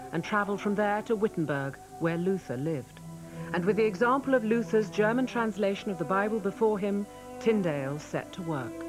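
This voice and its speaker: Over background music, a woman at medium pitch talks at a fairly quick pace with very wide pitch swings. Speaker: narrator. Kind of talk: documentary narration.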